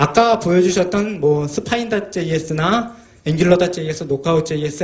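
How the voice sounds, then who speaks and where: A man speaks with a high pitch. Audible room echo and noticeable background noise surround him. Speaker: software developer and tech book author. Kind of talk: technical conference talk. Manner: fast.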